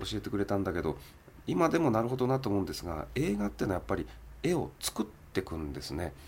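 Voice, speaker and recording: A man's fairly low, fry-tinged voice at a very fast pace, with very wide pitch swings. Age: 40s. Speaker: film producer. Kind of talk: interview.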